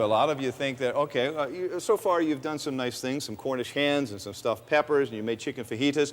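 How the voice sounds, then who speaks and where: Noticeable background noise sits behind a man talking at a very fast pace. His pitch is fairly high, with lively intonation. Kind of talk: infomercial host. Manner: upbeat, enthusiastic.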